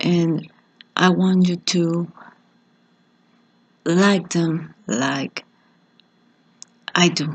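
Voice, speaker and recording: Speaking in a Spanish accent at a very slow pace, a woman uses a fairly low pitch and fairly even intonation, with long, frequent pauses. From Mexico. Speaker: teacher. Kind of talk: lecture.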